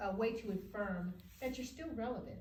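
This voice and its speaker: A woman speaks in a fairly high pitch. Noticeable background noise and an audible room echo surround her voice. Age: 60s. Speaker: author. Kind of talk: interview. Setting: studio.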